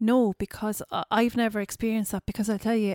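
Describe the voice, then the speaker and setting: This woman talks in a Kerry accent at a fairly high pitch and a fairly quick pace. Her intonation is monotone and flat, and the sound is dry and close with no echo. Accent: Kerry Irish. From Ireland, North Kerry. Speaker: former beauty queen and model. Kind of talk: interview.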